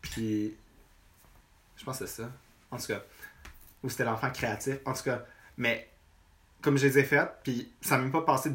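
With long, frequent pauses, a man talks at a moderate pace and medium pitch. His intonation is fairly even, though his loudness swings widely. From Quebec, north shore of Montreal. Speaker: visual artist. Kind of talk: casual chat.

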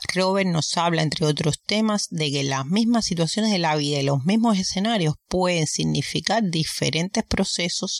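In a dry, close sound with no echo, a woman with an ordinary speaking voice talks at a fairly low pitch and moderate pace, with ordinary pitch variation and very even loudness. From Cuba. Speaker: podcast host. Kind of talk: solo podcast commentary.

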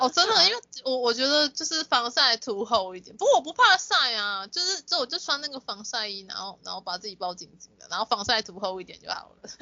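With noticeable background noise behind her, a woman speaks at a high pitch with very wide pitch swings and big swings in loudness. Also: fairly quick pace, hardly any pauses. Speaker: podcast co-host. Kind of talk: casual chat.

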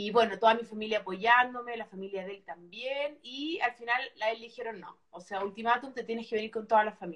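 Speaking at a fairly quick pace with hardly any pauses, a woman with a Chilean accent uses a fairly high pitch with ordinary variation and big swings in loudness. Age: 40s. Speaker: former TV presenter. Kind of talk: casual chat.

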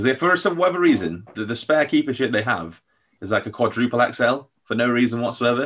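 A man talks at a very fast pace. His pitch is medium, and his intonation is lively. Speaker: podcast host. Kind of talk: casual chat.

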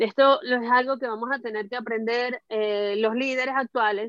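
Speaking with a Venezuelan accent, a woman keeps a moderate pace and a high pitch with fairly even intonation. The sound is dry and close, with no echo. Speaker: social communicator and cultural program manager. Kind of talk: casual panel discussion. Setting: video call.

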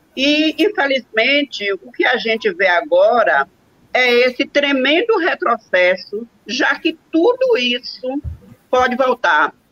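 A woman with a bright, sharp tone and high pitch speaks very slowly, her pitch swinging very widely, in a dry, close sound with no echo. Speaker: retired civil servant and union leader, moderator. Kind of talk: online panel moderation.

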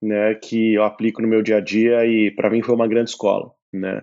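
Pitched in the middle range, a man talks with an unremarkable speaking voice. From Brazil, São Paulo. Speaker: entrepreneur, startup CEO. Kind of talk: casual interview.

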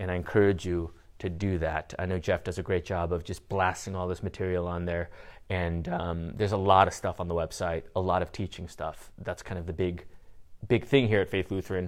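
This very clean recording has a silent background and a man speaking at a moderate pace. His pitch is very deep and low, with fairly even intonation. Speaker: pastor. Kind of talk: sermon. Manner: loud; halting.

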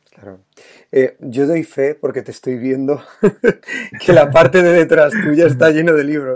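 Pausing long and often, a man speaks at a fairly high pitch. His pitch varies in an ordinary way, while his loudness swings widely. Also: fairly slow pace. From Spain, La Mancha. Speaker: education podcast host, teacher. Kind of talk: interview.

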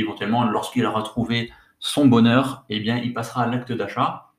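A man's medium-pitched voice at a moderate pace. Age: 30s. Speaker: podcast host, online entrepreneur. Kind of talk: solo podcast tutorial. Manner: casual, with hesitations and repetitions.

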